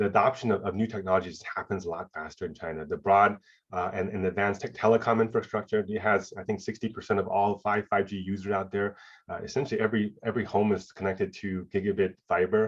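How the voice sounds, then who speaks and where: Talking at a very fast pace, a man keeps a monotone, flat intonation at a fairly low pitch. The background is quiet. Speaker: tech executive, keynote speaker. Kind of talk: keynote talk. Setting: remote video presentation.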